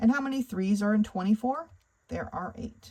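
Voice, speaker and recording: With a normal speaking voice, a woman talks at medium pitch and a moderate pace, her intonation lively. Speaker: math tutor. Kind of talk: tutorial.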